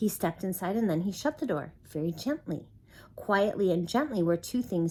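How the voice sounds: The speaker uses a natural reading voice.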